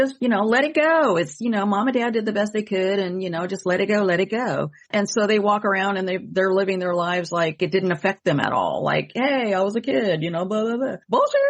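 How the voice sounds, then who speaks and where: At a fairly quick pace with hardly any pauses, a woman has a plain, everyday voice of medium pitch and ordinary pitch variation. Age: 60s. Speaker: psychic medium and podcast host. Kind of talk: casual chat.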